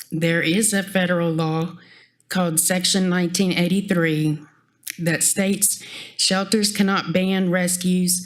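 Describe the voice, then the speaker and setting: A woman speaks with a shaky, fairly low pitch at a fairly slow pace. Her intonation is monotone and flat, and room echo is audible. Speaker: animal shelter volunteer. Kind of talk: public comment at council meeting. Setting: council chamber podium.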